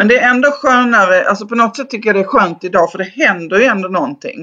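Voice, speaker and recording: A woman's bright, sharp voice at a fairly quick pace over a quiet background. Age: 50s. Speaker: Instagram creator and teacher. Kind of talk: casual interview chat.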